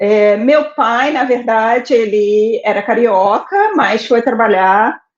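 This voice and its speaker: Her voice is fairly high and her intonation fairly even. The woman speaks at a very slow pace. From Brazil, Rio de Janeiro (born Salvador). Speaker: administrator, interview guest. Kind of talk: life story interview.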